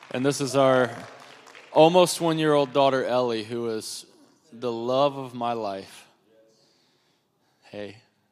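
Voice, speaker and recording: A man speaks slowly with long, frequent pauses. His loudness swings widely, and the room echo is audible. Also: medium pitch for a man, ordinary pitch variation. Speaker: guest preacher. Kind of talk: sermon opening remarks.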